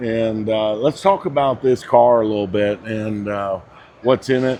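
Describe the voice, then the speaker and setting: A man delivers his words in a plain, everyday voice, keeping a moderate pace and ordinary pitch variation. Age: 60s. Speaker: car show interviewer. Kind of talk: casual interview questions.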